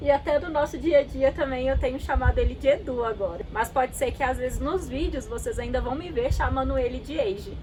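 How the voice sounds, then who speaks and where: Speaking fairly quickly, a woman barely stops for breath. There is noticeable noise in the background. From Brazil, Minas Gerais (Itabirito). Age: 20s. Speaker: travel vlogger. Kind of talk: scripted narration.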